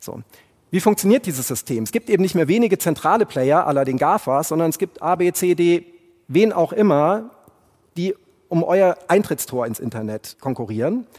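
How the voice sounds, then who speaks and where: A man's high-pitched voice with very wide pitch swings at a moderate pace, dry and close with no echo. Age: 40s. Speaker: podcast host and tech speaker. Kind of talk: keynote talk. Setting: stage with audience.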